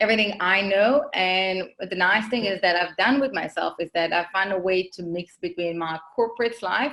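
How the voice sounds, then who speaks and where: With an Israeli accent, a woman of medium pitch speaks in a bright, sharp tone with hardly any pauses. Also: ordinary pitch variation, moderate pace. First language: Hebrew. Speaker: marketing consultant, business owner. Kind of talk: podcast interview.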